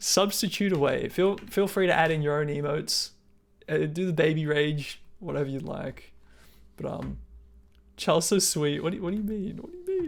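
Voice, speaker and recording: An Australian accent comes through. The speech moves at a moderate pace. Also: very clean recording, silent background. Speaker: video game streamer. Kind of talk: casual live stream chat. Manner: casual, loose and chatty.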